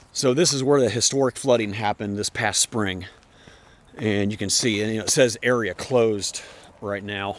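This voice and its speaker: This is an ordinary speaking voice at a moderate pace with ordinary pitch variation. The sound is dry, with no echo. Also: man, fairly low pitch for a man. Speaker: trail runner vlogger. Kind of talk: casual vlog chat. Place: forest. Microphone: phone near.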